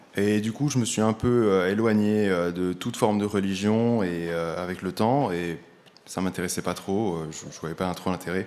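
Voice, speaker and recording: Moving at a moderate pace, a man speaks with a fairly low pitch and ordinary pitch variation. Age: 20s. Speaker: church member giving testimony. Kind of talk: testimony. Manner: halting.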